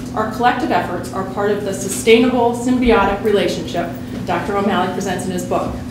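Fairly quick speech amid noticeable background noise and audible room echo. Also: woman. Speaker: event host introducing a speaker. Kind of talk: formal introduction speech. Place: hall.

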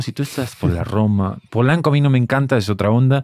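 A man's voice in a dry sound with no echo, over a quiet background. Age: 30s. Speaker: podcast host. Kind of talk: casual chat. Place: studio. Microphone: studio mic.

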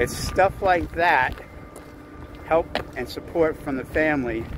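A man speaks fairly slowly with ordinary pitch variation, the dry, echo-free sound carrying noticeable background noise. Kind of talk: casual vlog chat. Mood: warm, grateful. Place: street. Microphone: phone near.

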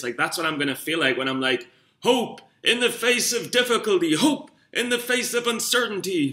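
A man with a Geordie accent talks with lively intonation and a bright, sharp tone. The background is quiet. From northern England, Newcastle. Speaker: amateur stock trader vlogger. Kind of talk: casual vlog monologue. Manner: rambling, hesitant with fillers. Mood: self-mocking, a bit rough. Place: home room. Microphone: webcam.

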